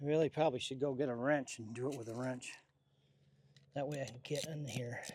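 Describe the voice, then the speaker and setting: This man's voice sits at a medium pitch and is somewhat breathy. His intonation is monotone and flat, at a moderate pace. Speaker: ham radio hobbyist. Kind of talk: DIY vlog narration. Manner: casual, conversational.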